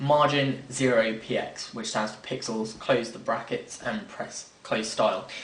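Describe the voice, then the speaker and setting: A man speaks at a fairly slow pace with audible room echo. Noticeable background noise runs underneath. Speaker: software tutorial maker. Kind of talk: screen-recorded tutorial.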